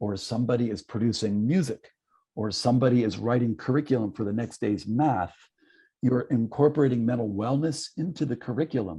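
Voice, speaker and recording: Against a quiet background, a man speaks at a fairly quick pace in a medium-pitched, dark, mellow, somewhat breathy voice with ordinary pitch variation. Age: 60s. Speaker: psychologist and keynote speaker. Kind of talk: online conference talk.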